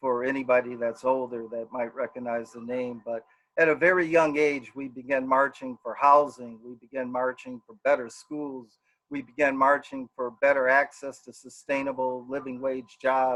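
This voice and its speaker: A man in an American accent at a medium pitch and moderate pace, with monotone, flat intonation and big swings in loudness. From Milwaukee, Wisconsin. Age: 60s. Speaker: political candidate. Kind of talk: campaign speech. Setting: live stream.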